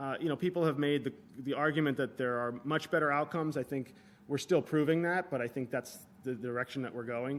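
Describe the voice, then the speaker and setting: A man's fairly high voice at a fairly quick pace, with ordinary pitch variation. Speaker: physician researcher. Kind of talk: conference lecture. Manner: fast; hesitant with repetitions.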